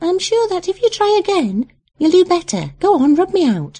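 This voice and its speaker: Putting on a squeaky character voice, a woman speaks at a moderate pace in an extremely high pitch. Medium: read story. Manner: quick, bossy.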